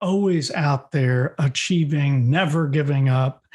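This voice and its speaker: Somewhat breathy and with an American accent, a man talks at a fairly slow pace in a fairly high pitch with ordinary pitch variation. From US East Coast. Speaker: podcast host, executive coach. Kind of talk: interview conversation.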